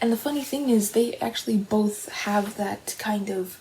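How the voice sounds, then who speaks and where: Soft-spoken and whispering, a woman talks at a fairly slow pace over noticeable background noise. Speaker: aspiring novelist. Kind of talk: ASMR soft-spoken rambling. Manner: soft-spoken, whispered.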